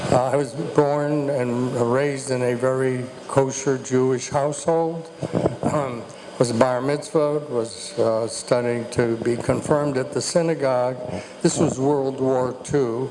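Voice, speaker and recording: A man's medium-pitched voice at a fairly slow pace, fairly even in intonation, with audible room echo and noticeable background noise. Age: 80s+. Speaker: elder family member on panel. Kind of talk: personal testimony. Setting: family reunion gathering.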